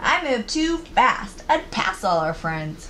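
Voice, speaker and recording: In a put-on character voice, a female-sounding speaker talks at a fairly slow pace and fairly high pitch with very wide pitch swings. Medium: read story.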